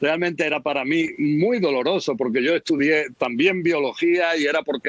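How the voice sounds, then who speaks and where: A man speaks with ordinary pitch variation in a dry, close sound with no echo, over noticeable background noise. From Spain, Melilla. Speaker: foreign correspondent. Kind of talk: interview.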